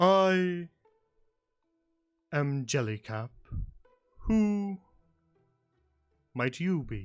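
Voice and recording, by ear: A man's put-on character voice, high-pitched for a man, very slow with long, frequent pauses over faint background music.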